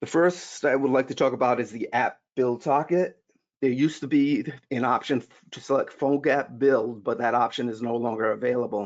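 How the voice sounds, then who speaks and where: The speaker has a Rhode Island accent and talks at a fairly quick pace. The intonation is fairly even. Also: man, medium pitch for a man. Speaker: software solutions engineer. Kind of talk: conference tutorial. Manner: halting, many false starts.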